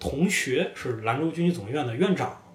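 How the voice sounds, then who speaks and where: The speaker's intonation is lively, with noticeable background noise and audible room echo. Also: man. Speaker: podcast guest. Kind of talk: casual chat. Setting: cafe.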